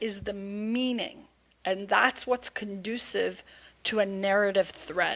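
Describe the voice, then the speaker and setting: A woman's bright, sharp tone in a very clean recording with a silent background. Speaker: storytelling coach. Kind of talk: podcast interview. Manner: slow, deliberate pace; articulate, clear enunciation.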